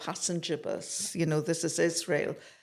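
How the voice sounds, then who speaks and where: A woman talks at a fairly slow pace with fairly low pitch. The recording is very clean, with a silent background. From Scotland. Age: 60s. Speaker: activist. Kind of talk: interview.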